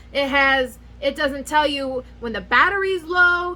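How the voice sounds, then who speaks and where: A woman speaks in a high, raised and projected voice with lively intonation at a very slow pace. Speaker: nail care youtuber. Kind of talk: casual product review vlog. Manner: rambling, scattered delivery; animated.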